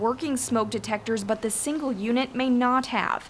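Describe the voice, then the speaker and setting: A plain, everyday voice moves at a fairly quick pace with fairly even intonation. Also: woman. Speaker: TV reporter and anchor. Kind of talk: TV news reporting.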